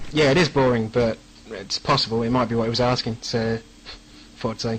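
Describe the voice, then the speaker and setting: Talking at a fairly quick pace, a man with a medium pitch keeps his intonation fairly even over noticeable background noise. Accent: English. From England. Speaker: game mod developer. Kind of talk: radio interview. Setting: internet radio show.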